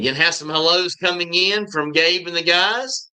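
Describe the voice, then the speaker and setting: Here a man talks with a Southern US accent at a fairly slow pace. His tone is bright and sharp, with a high pitch and ordinary pitch variation. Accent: Southern drawl. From US South. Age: 50s. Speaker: YouTuber living abroad. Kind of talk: live stream chat. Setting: live stream. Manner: halting.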